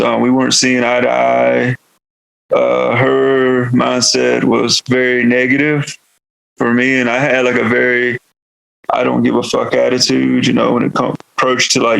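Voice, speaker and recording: This man speaks with a Southern US accent. His pace is moderate. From US South, North Carolina. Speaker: metal vocalist. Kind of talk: podcast interview. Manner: casual, filler-heavy.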